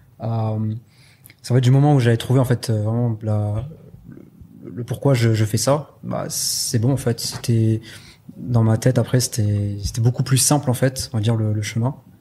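A man speaks fairly slowly with long, frequent pauses, and noticeable background noise runs underneath. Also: medium pitch for a man, fairly even intonation. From southwest France (Pau). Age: 20s. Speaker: e-commerce entrepreneur. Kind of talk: interview.

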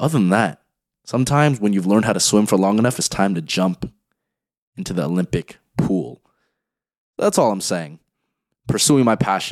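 A man with a fairly low pitch and an energetic tone talks at a moderate pace with lively intonation and long, frequent pauses. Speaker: podcast host. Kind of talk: solo monologue. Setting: home bedroom. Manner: casual, energetic.

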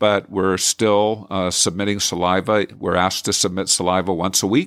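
A plain, everyday voice with an American accent talks at a fairly slow pace. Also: man. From US Northeast and Idaho. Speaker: university president. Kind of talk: interview. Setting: office.

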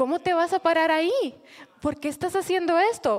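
There is noticeable noise in the background. Over it, a woman talks. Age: 30s. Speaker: church leader. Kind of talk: sermon-style talk.

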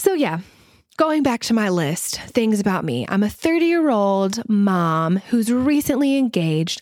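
An animated woman with an American accent is recorded very cleanly, with a silent background and a dry, close sound with no echo. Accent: Southern US, slight to moderate. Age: 30s. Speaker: podcast host, stylist and mother. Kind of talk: casual solo podcast chat. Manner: animated, chatty, laughs often.

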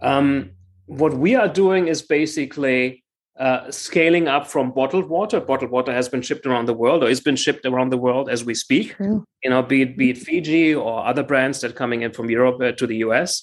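A man speaks with a German accent at a fairly quick pace, with hardly any pauses. His pitch is medium, with ordinary variation. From Germany, Frankfurt. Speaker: water investment entrepreneur. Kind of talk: interview. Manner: halting, many fillers.

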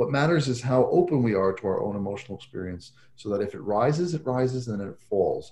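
A man speaks at a very fast pace with lively intonation and a medium pitch. His voice is somewhat breathy, with a dark, mellow tone. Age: 40s. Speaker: psychologist and author on coaching. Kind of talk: podcast interview.

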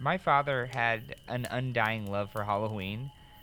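A man with an American accent has a plain, everyday voice. His pitch is fairly low, with ordinary pitch variation. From northern Illinois. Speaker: podcast host and storyteller. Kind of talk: storytelling.

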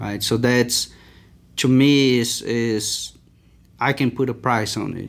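A man with a Portuguese accent speaks at a medium pitch in a flat monotone. His pace is very slow, broken by long, frequent pauses. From Brazil. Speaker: agricultural scientist. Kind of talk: interview. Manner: halting.

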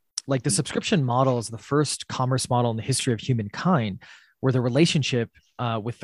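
A man with an American accent talks very fast in a somewhat breathy, medium-pitched voice with ordinary pitch variation, on a very clean recording with a silent background. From US Midwest, Wisconsin. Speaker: startup CEO and co-founder. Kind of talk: podcast interview. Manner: many filler words.

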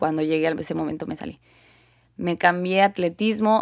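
The woman talks at a moderate tempo, and the recording is very clean with a silent background. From northern Mexico, Sonora. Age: 20s. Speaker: podcast host, athlete. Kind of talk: personal monologue.

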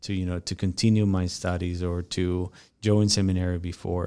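A man with a Spanish accent and fairly even intonation at a moderate pace, on a very clean recording with a silent background. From Mexico. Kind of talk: casual interview. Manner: halting, many fillers.

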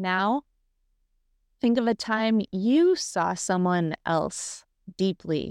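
A woman of medium pitch speaks at a very slow pace with long, frequent pauses, ordinary pitch variation and very even loudness. The sound is dry and close with no echo, on a very clean recording with a silent background. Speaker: radio host. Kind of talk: guided meditation and show intro.

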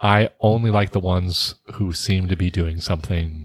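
A very deep, low-pitched, somewhat breathy man's voice with an American accent, fairly slow in pace and fairly even in intonation. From New Jersey. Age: 20s. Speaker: podcast co-host, middle school teacher. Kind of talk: casual chat. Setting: studio.

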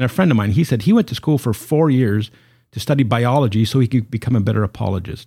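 A man's medium-pitched, somewhat breathy voice with a dark, mellow tone, ordinary pitch variation and a very fast pace, on a very clean recording with a silent background. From Canada. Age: 50s. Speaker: evangelist and apologist. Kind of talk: casual interview. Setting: home office studio.

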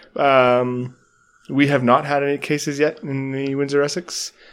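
At a fairly slow pace, with long, frequent pauses, a man talks in a monotone, flat intonation at a fairly high pitch. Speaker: podcast host. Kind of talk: casual chat. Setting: cottage dining room.

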